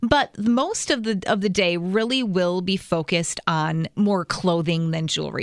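A woman of medium pitch with an unremarkable speaking voice talks at a moderate pace with ordinary pitch variation, in a dry, close sound with no echo on a very clean recording with a silent background. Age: 40s. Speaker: fashion stylist and blogger. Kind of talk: casual chat.

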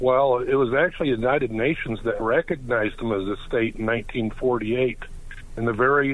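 The clip has a normal speaking voice at a moderate pace. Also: man. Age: 60s. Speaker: caller. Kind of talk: call-in. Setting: phone call.

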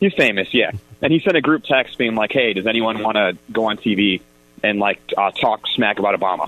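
At a fairly quick pace, a man with a plain, everyday voice speaks at a medium pitch, his loudness very even and his pitch varying in an ordinary way. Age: 30s. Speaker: congressional candidate. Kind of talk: political talk radio. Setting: phone call.

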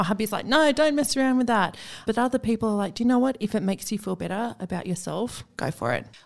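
A very fast woman's voice, fairly high in pitch with ordinary variation, with an Australian accent, on a very clean recording with a silent background. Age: 40s. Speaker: podcast host. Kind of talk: casual interview chat. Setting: podcast studio.

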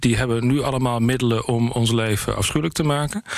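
In an ordinary speaking voice, the speaker talks at a moderate pace with ordinary pitch variation. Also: man. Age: 40s. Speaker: member of parliament, foreign affairs spokesperson. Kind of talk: interview.

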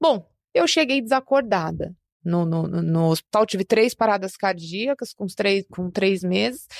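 A woman with a plain, everyday voice and medium pitch speaks at a fairly slow pace with lively intonation, the sound dry and close with no echo. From Brazil, São Paulo city. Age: 30s. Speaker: musician and social entrepreneur. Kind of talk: interview conversation.

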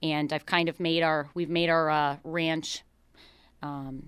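In a very clean recording with a silent background, a woman speaks with a Buffalo accent. Her pitch is fairly low and her intonation fairly even. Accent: Western New York (Buffalo area). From western New York, Niagara County. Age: 20s. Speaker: horse trainer and ranch owner. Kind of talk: radio interview. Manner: hesitant, many fillers.

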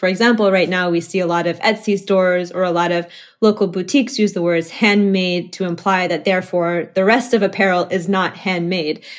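With an American accent, a woman in a plain, everyday voice speaks fairly quickly at a medium pitch with fairly even intonation. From Oklahoma. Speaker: activist and garment collective founder. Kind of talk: interview.

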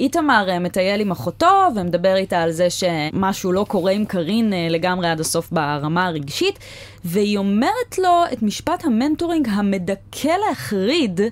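A woman speaks at a moderate pace with medium pitch, lively intonation, very even loudness and hardly any pauses, over noticeable background noise. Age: 20s. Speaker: podcast host. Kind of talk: casual chat. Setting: studio.

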